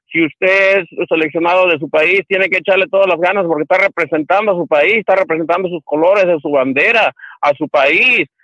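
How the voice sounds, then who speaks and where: At a moderate pace, a man with a Mexican accent speaks at a high pitch with ordinary pitch variation. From Mexico. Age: 50s. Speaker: caller. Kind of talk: call-in comment. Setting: phone call. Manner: halting.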